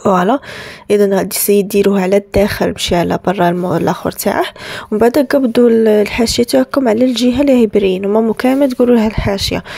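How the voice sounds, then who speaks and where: Over noticeable background noise, a woman with an Algerian accent talks at a fairly quick pace in a fairly high voice, with ordinary pitch variation and very even loudness. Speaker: bride-to-be lifestyle vlogger. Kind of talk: tutorial. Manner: casual, with French words mixed in; halting, frequent restarts.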